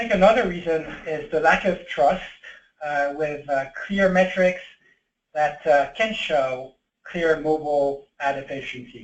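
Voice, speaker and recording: A man speaks at a fairly slow pace. His pitch sits fairly high for a man. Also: ordinary pitch variation. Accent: French. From France. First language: French. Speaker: tech company executive. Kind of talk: webinar presentation. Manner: hesitant, many fillers.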